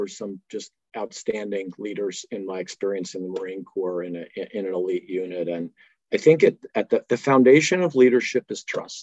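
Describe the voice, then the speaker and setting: A plain, everyday voice moves at a fairly quick pace with lively intonation and big swings in loudness, recorded in a dry, close sound with no echo. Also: man. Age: 60s. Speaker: fitness company executive and Marine Corps veteran. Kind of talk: interview. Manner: casual, with many fillers.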